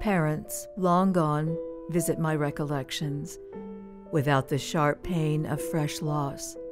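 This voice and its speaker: Music plays in the background as a woman with a fairly low pitch talks at a very slow pace. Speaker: radio announcer. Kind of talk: poetry reading.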